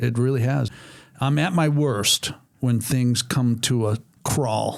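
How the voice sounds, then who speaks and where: A plain, everyday voice from a man with an American accent, medium pitch and a fairly slow pace. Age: 60s. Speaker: racing speedway owner, former race driver. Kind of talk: podcast interview.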